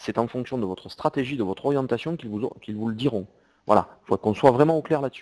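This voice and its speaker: A man speaks at a very fast pace. His loudness swings widely. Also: medium pitch for a man, ordinary pitch variation. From southern France. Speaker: CEO and e-commerce software presenter. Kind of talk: webinar presentation with Q&A. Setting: online webinar. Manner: hesitant, with repetitions.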